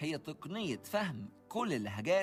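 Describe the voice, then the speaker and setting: A man with an Egyptian accent speaks with very wide pitch swings as music plays in the background. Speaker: podcast host. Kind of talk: educational podcast talk.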